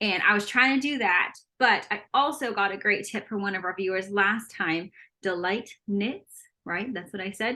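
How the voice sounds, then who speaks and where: A loud woman's voice at a medium pitch, bright and sharp in tone, animated, at a moderate pace with ordinary pitch variation. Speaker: knitting podcast co-host. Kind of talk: casual chat.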